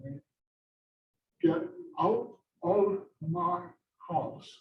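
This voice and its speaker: A woman puts on a character voice that sounds guttural and fairly low in pitch. Her pitch varies in an ordinary way. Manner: menacing, harsh.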